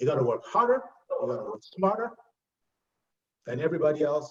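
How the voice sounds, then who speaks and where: A man with a Nigerian accent talks at a fairly quick pace in an animated tone. His pitch swings very widely. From Nigeria (Lagos). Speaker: health insurance executive. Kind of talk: interview.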